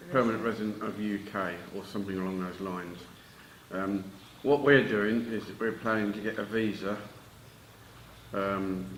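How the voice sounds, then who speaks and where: Fairly low-pitched and with a British accent, a man speaks with fairly even intonation and long, frequent pauses. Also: moderate pace. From United Kingdom. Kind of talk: casual talk to camera.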